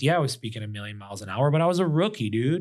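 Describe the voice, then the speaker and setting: Talking fairly quickly with lively intonation, a man is heard on a very clean recording with a silent background. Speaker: business founder and M&A advisor. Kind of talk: casual podcast interview. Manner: fast; animated.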